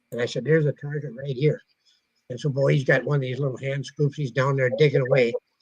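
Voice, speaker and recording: Recorded dry and close with no echo, a man with a fairly high, somewhat breathy voice speaks at a very fast pace with fairly even intonation. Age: 80s+. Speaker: metal detecting author. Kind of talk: casual chat.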